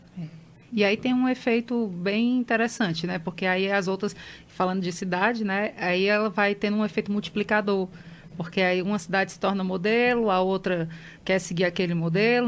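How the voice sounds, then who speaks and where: In a very clean recording with a silent background, a woman with a plain, everyday voice talks at a moderate pace, her pitch medium and her intonation fairly even. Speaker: geographer, environmental consultant. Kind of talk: radio interview answer.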